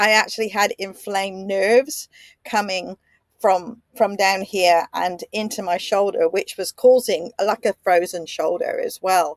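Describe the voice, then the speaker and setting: Speaking at a fairly slow pace with an Australian accent, a woman keeps a medium pitch and fairly even intonation in a dry, close sound with no echo. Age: 60s. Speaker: podcaster. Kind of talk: personal reflection. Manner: halting.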